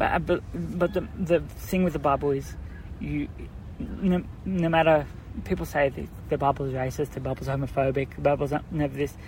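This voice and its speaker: A man with an Australian accent speaks, keeping a moderate pace. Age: 20s. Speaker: brain tumour patient and volunteer first aider. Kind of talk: casual interview. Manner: halting, many fillers and restarts.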